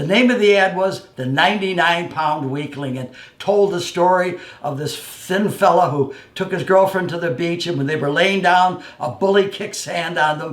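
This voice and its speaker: A man speaks at a high pitch for a man, with audible echo in the room. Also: ordinary pitch variation, moderate pace. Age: 80s+. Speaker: former wrestler and fitness personality. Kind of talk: personal storytelling.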